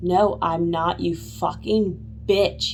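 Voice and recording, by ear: Someone speaks in a put-on character voice. Background noise is clearly audible.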